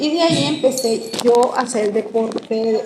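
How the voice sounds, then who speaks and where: Lively intonation at a very slow pace, with noticeable background noise and audible room echo. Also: woman. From Venezuela, Caracas. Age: 60s. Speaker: interviewee, former school athlete. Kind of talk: interview.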